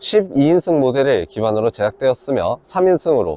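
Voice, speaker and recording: Fairly quick speech from a man with very wide pitch swings, a dry, close sound with no echo, and noticeable background noise. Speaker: camper van builder presenting a vehicle. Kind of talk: product walkthrough.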